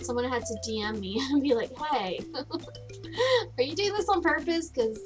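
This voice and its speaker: A woman speaks at a moderate pace in an upbeat tone. Music plays in the background. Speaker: gaming streamer. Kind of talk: casual gameplay commentary. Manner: upbeat, chatty.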